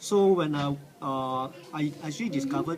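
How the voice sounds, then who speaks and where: A fairly high male voice with ordinary pitch variation, audible room echo and noticeable background noise. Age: 60s. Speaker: cancer patient. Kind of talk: testimony. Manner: halting.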